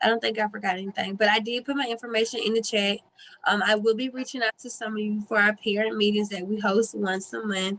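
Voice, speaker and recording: A woman with a fairly high pitch talks at a very fast pace in a monotone, flat intonation. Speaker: early learning program staff. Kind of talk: meeting update.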